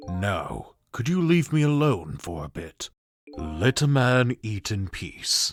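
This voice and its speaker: In a put-on character voice, a man at medium pitch makes very wide pitch swings at a fairly slow pace, recorded with a dry, close sound and no echo. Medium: fan dub. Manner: calm, dry, world-weary.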